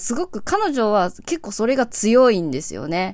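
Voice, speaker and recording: A woman's fairly high voice with very wide pitch swings. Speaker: singer-songwriter hosting a solo radio show. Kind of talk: casual solo talk show monologue. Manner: relaxed, laid-back.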